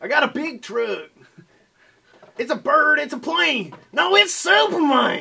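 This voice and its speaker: A man's put-on character voice, extremely high and raised to project, at a fairly slow pace with long, frequent pauses. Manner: boastful, comic.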